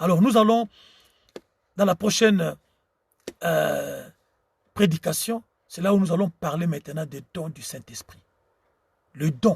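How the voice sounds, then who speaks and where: In a Congolese accent, a man with a high pitch talks at a very slow pace, with long, frequent pauses and big swings in loudness. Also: ordinary pitch variation, dry, close sound with no echo. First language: Tshiluba (speaking French). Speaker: preacher. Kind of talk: sermon. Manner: halting.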